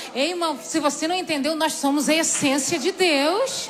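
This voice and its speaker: With music playing behind her and audible room echo, a woman speaks in an extremely high, animated voice with ordinary pitch variation. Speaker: preacher. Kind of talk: sermon.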